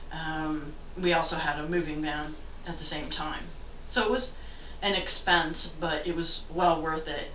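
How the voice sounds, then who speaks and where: Through noticeable background noise and audible room echo, a woman with a US Midwestern accent speaks with fairly even intonation. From Ohio, US Midwest. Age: 50s. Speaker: vlogger sharing personal story. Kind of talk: personal vlog testimony. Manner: halting, many fillers.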